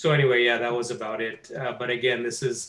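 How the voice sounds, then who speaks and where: A man speaks at a moderate pace with a medium pitch and a flat, monotone intonation. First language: not English. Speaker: course student. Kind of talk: testimony.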